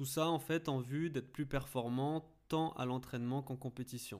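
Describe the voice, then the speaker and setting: Heard on a very clean recording against a silent background, an unremarkable speaking voice keeps fairly even intonation and a fairly slow pace. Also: man. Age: 20s. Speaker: podcast host and mental coach for athletes. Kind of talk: scripted podcast introduction.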